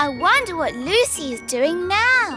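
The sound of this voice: Over loud music in the background, a cartoonish character voice speaks at an extremely high pitch and a fairly slow pace.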